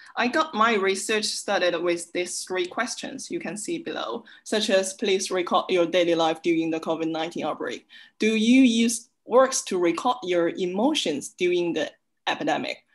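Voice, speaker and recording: Her intonation is lively. The woman speaks at a moderate pace. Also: quiet background. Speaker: visiting research fellow; presenter. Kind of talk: academic conference presentation. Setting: video call. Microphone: webcam.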